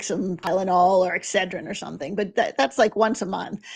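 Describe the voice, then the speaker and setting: At a fairly quick pace, a woman is speaking. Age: 60s. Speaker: podcast host. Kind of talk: interview.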